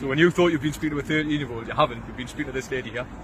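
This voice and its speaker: This man talks at a very fast pace with a Geordie accent and a fairly high pitch. His pitch varies in an ordinary way, and there is noticeable background noise. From northeast England (Tyneside). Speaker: vigilante group confronter. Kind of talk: confrontation. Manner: talkative.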